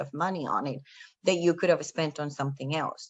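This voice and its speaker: A fairly quick pace in a Spanish accent, with ordinary pitch variation. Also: woman. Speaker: panel speaker. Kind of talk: motivational talk.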